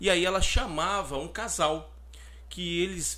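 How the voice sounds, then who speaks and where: A man speaks with a Brazilian accent. The recording is very clean and the background silent. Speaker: podcast co-host. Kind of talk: casual chat.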